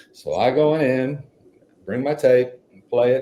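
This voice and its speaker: In a West Texas accent, a man speaks with a dark, mellow tone that is somewhat breathy. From Texas (Midland). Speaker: author and songwriter. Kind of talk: storytelling in a podcast interview. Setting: podcast interview.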